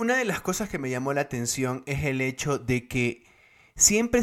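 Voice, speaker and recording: A man with an ordinary speaking voice talks at medium pitch in a very clean recording with a silent background. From Guayaquil, Ecuador. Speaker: podcast co-host. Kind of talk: casual chat.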